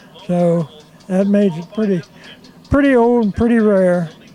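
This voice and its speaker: Against noticeable background noise, a man talks at a fairly slow pace in a high voice with fairly even intonation. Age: 80s+. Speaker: car owner. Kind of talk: interview.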